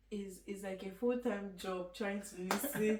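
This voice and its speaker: A woman with a Nigerian accent is heard with audible room echo and noticeable background noise. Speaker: university student. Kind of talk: casual chat. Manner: halting.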